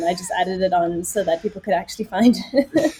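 Over noticeable background noise, a woman with a South African accent talks at a fairly quick pace in a medium pitch. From South Africa, Johannesburg. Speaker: journalist and podcaster. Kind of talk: casual interview.

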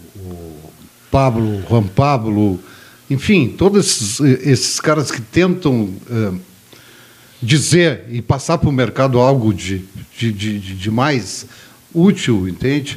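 A man with a medium-pitched, somewhat breathy voice speaks at a very slow pace. His intonation is lively, and he leaves long, frequent pauses. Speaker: media sales executive. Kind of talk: casual chat.

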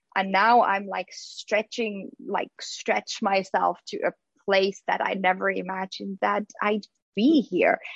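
A woman speaks at a very slow pace with medium pitch, ordinary pitch variation and vocal fry. The sound is dry and close, with no echo. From Finland. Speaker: social worker and parent coach. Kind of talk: interview.

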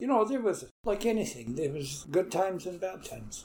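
In a Canadian prairie accent, a man speaks at a fairly quick pace with lively intonation, a dark, mellow tone and a somewhat breathy sound. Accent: rural Canadian prairie. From Manitoba, Canada (St. Andrews area near Winnipeg). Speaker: retired farmer and longtime resident. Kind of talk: oral history interview. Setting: at home on his property.

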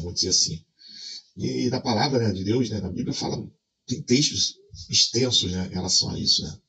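Pitch variation here is ordinary. It belongs to a man's voice. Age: 40s. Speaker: video creator. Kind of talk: casual vlog monologue.

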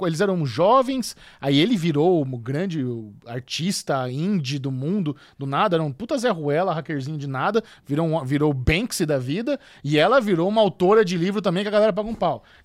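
This very clean recording, with a silent background, features a man with a high pitch. He talks at a fairly quick pace with lively intonation. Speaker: podcast host. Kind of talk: casual chat.

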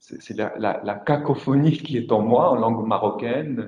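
Speaking at a very slow pace, a man uses a Moroccan accent with ordinary pitch variation. Vocal fry runs through his voice. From Morocco. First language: Moroccan Arabic (speaking French). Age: 40s. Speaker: writer. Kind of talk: panel discussion. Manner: halting.

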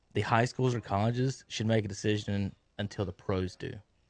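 A man with an American accent has a plain, everyday voice, a medium pitch and ordinary pitch variation. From North Carolina. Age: 30s. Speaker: sports radio host. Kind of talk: casual sports talk. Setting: radio studio.

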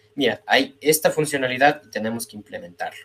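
Here a man talks. He keeps a moderate pace. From Ecuador, Quito. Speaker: industrial engineer, data analyst. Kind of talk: casual interview.

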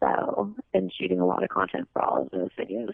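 A woman talks at a fairly quick pace with very wide pitch swings, vocal fry and a slightly husky edge. The sound is dry and close, with no echo. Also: medium pitch for a woman.

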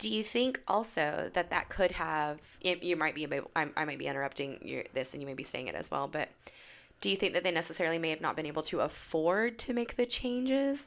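Talking at a fairly quick pace in an American accent, a woman with a fairly low pitch makes very wide pitch swings. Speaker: podcast host. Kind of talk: casual chat.

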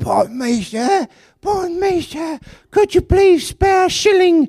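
Pitched extremely high, a put-on character voice moves along at a very slow pace. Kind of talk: old-fashioned, polite. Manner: meek, pleading.

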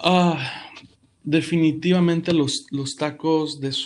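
Calm in tone, a man with a fairly high pitch speaks very slowly in a monotone, flat way. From Mexico City. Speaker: pastor. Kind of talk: podcast interview. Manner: halting.

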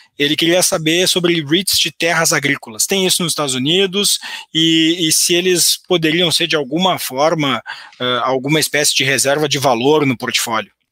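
A man's bright, sharp tone with ordinary pitch variation and very even loudness. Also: fairly high pitch for a man, moderate pace. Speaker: economist and educator. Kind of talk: finance webinar. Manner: halting, frequent repetitions.

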